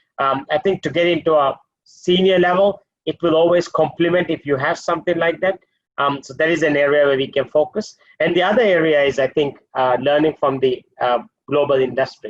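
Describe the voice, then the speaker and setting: A man talks in a Maldivian accent. His pace is fairly quick. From Maldives. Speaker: hotel group executive. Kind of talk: webinar panel discussion.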